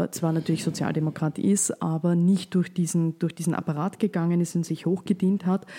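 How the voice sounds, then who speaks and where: A woman's fairly low, dark, mellow voice with fairly even intonation, on a very clean recording with a silent background. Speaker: podcast host, journalist. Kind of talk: interview.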